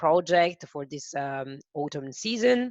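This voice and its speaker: A woman speaks at a fairly low pitch in an Italian accent. The sound is dry and close, with no echo. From Italy. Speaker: webinar host, software presenter. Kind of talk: product webinar presentation. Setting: online webinar on Zoom. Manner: slow, careful; hesitant with fillers.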